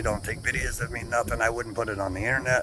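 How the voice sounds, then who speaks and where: A man's fairly low, fairly quick voice amid noticeable background noise. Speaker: vlogger, accident survivor. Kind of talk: casual vlog monologue. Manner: fast.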